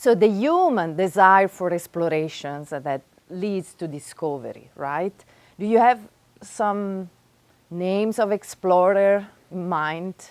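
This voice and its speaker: A woman's medium-pitched voice with an Italian accent, ordinary pitch variation and a very slow pace. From Italy, Florence. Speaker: professor. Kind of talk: workshop lecture. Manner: animated.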